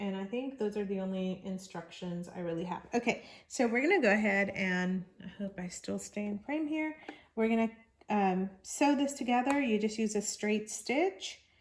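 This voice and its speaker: Ordinary pitch variation and a moderate pace from a woman of medium pitch. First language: not English. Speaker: crafts channel host. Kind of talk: tutorial. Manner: halting.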